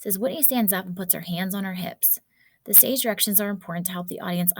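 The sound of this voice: Unforced reading voice throughout.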